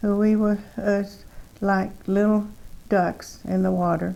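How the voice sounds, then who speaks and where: Very slowly, a woman with a Texan accent speaks in a dark, mellow tone and monotone, flat intonation. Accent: Texan Southern US. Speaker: twin sister telling life story. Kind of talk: reminiscing, reading memoir aloud. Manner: halting, many fillers.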